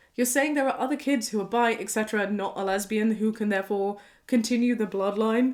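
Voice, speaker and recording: A woman with a British accent talks very fast in an animated tone at a fairly high pitch. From Britain. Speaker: YouTuber reacting to online posts. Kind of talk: casual commentary reading posts aloud.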